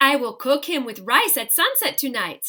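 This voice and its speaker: A woman's put-on character voice, high-pitched, raised and projected, with lively intonation at a moderate pace. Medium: read story.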